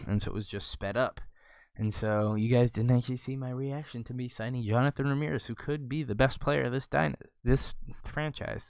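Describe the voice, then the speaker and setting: A man speaks quietly at a medium pitch. His intonation is lively and his pace very fast. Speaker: gaming video creator. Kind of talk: casual gameplay commentary.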